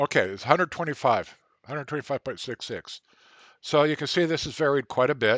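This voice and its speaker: The man's pitch is fairly high, with ordinary variation and big swings in loudness. He moves at a fairly quick pace. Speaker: control engineering tutor. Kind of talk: tutorial. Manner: fast; halting, many fillers.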